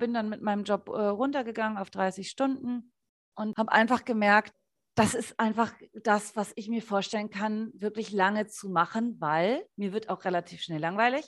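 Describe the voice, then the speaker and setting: On a very clean recording with a silent background, a woman talks in a plain, everyday voice at a fairly high pitch. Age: 30s. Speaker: essential oils distributor, former radio ad sales. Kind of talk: casual interview chat.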